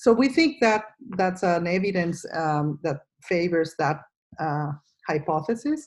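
Speaking at a fairly slow pace, a woman with a fairly low voice uses lively intonation. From Venezuela. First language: Spanish. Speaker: microbiome scientist, professor. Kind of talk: interview. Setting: video call. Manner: halting.

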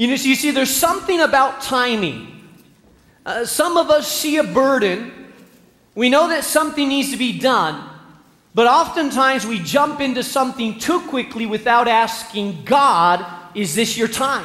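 A man speaks in a raised, projected voice at an extremely high pitch. Noticeable background noise and audible room echo fill the recording. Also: lively intonation, moderate pace. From Spain. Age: 40s. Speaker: pastor. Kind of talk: sermon.

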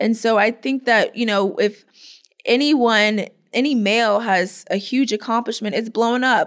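A woman speaks with an American accent in an ordinary speaking voice, fairly high in pitch with ordinary pitch variation. Her pace is moderate, and the recording is very clean with a silent background. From Florida, US. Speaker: professional softball player. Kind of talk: interview.

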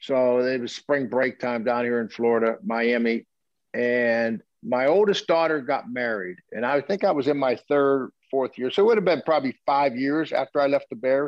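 A man speaks in a plain, everyday voice at medium pitch and a moderate pace, with ordinary pitch variation and hardly any pauses. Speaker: football coach. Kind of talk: interview storytelling.

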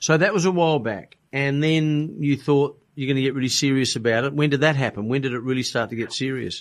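Speaking with an Australian accent at a fairly quick pace and hardly any pauses, a man uses a fairly high pitch with ordinary pitch variation in a very clean recording with a silent background. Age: 60s. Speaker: podcast host. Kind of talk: interview.

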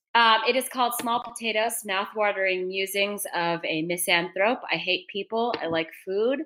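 A woman speaks at medium pitch with ordinary pitch variation. She leaves hardly any pauses. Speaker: podcast producer. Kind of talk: casual chat. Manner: fast talker.

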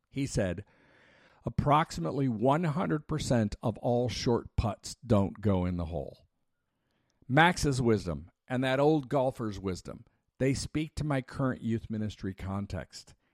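A plain, everyday voice from a man at medium pitch, fairly slow and with lively intonation, in a dry, close sound with no echo and a quiet background. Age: 50s. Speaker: youth ministry worker. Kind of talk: scripted narration.

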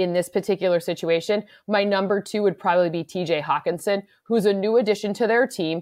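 A woman of medium pitch with an American accent speaks at a fairly quick pace in an unremarkable speaking voice. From US Midwest, Michigan. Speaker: football analyst, podcast co-host. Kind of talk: casual sports analysis chat.

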